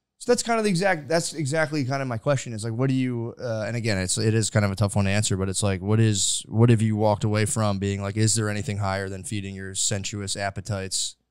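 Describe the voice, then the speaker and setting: With an American accent, a man talks very fast in a fairly low voice, hardly pausing at all. His pitch varies in an ordinary way. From US suburbs. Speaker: comedy podcast host. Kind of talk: casual interview conversation. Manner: rambling with many fillers.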